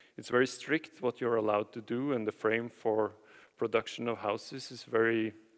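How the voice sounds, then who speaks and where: Speaking with a Norwegian accent at a moderate pace, a man with medium pitch and fairly even intonation shows big swings in loudness, recorded dry and close with no echo. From Norway, Nordmøre (Batnfjorden). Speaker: architect. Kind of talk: conference presentation. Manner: halting, many fillers and repetitions.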